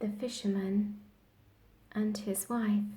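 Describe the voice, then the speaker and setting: The voice is soft-spoken and somewhat breathy, with a dark, mellow tone. It moves at a very slow pace in a monotone, flat intonation. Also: woman. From England. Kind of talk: bedtime story reading.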